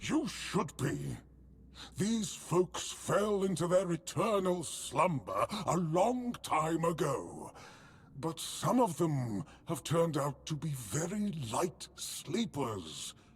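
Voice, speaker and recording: A man puts on a character voice with a high pitch. He speaks at a very slow pace over light background noise. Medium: video game. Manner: chatty, fussy about manners.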